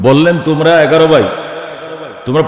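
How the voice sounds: The speech moves at a fast pace. Room echo is audible. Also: man.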